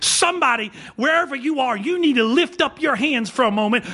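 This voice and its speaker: A man's raised, projected voice with very wide pitch swings, a fairly quick pace and noticeable background noise. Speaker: pastor. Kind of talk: sermon. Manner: fast, clipped words when excited; animated.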